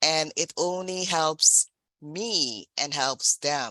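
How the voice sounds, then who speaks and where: In a non-native accent, a woman speaks with very deep, low pitch and a bright, sharp tone, the sound dry and close with no echo. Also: quiet background. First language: not English. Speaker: general evaluator at a speaking club meeting. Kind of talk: meeting evaluation feedback.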